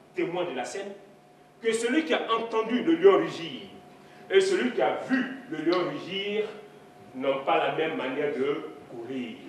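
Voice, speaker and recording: A man with a high pitch swings very widely up and down, with audible room echo and light background noise. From Ivory Coast. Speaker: storyteller. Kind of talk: live storytelling performance. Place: hall.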